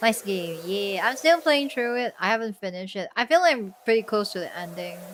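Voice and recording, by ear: Deadpan in tone yet with lively intonation, the voice is fairly bright and moves at a fairly quick pace. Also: woman, medium pitch for a woman.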